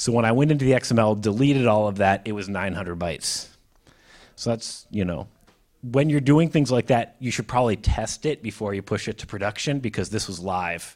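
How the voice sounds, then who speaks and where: In a normal speaking voice with a General American accent, a man talks at a fairly quick pace, his fairly low pitch moving with ordinary variation. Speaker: mobile and web developer, conference speaker. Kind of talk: technical presentation with Q&A. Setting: live room with audience.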